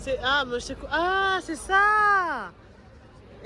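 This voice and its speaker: A woman projects her raised voice with very wide pitch swings, speaking very slowly. Crowd noise and audible room echo fill the background. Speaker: travel vlogger. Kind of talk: casual travel vlog. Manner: casual, filler-heavy.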